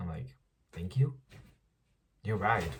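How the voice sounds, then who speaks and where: The man's voice is fairly low and somewhat breathy. His pitch swings very widely. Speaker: vlogger. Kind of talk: casual vlog monologue. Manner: casual, filler-heavy.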